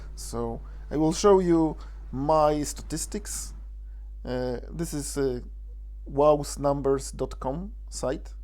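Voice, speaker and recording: A man speaks in a Polish accent with audible room echo. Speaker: gaming video creator. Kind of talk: tutorial. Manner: halting.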